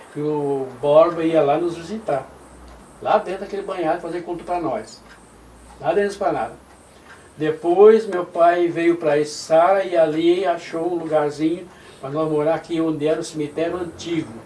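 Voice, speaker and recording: Noticeable background noise sits behind a man with a high pitch who speaks at a moderate pace and with fairly even intonation. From southern Brazil, Santa Catarina (Criciúma region). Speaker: retired pastor, church pioneer. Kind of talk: oral history interview. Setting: at his home.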